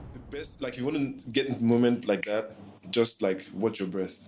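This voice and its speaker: With music in the background, a man at a medium pitch talks at a fairly slow pace with ordinary pitch variation. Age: 30s. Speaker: podcast host. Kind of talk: scripted narration; casual chat.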